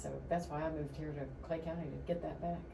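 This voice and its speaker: A woman with an American accent at a very fast pace, with audible room echo and noticeable background noise. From Florida (Lakeland). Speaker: local political candidate, former chamber director. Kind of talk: radio interview.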